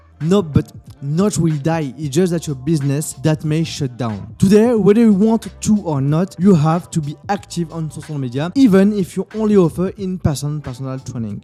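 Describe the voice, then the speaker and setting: With music in the background, a man with a French accent speaks with lively intonation and hardly any pauses. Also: fairly high pitch for a man, moderate pace. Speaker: fitness business coach. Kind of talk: educational talk to camera.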